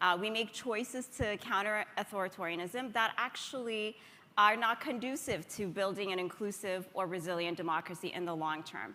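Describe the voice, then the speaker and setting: Ordinary pitch variation and a moderate pace mark an ordinary speaking voice with an American accent. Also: woman, medium pitch for a woman. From Ethiopia. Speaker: democracy organization leader. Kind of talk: conference talk.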